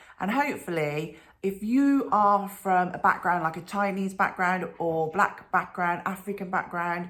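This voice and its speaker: Speaking in a Birmingham accent, a woman uses a medium pitch and ordinary pitch variation at a fairly slow pace. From England, Birmingham. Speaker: children's author. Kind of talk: talk to school pupils.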